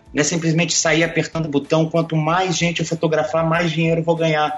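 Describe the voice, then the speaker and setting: A man talks in a fairly high pitch with noticeable background noise behind him. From Brazil, Brasília. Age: 30s. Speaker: sports photographer. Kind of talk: casual interview chat.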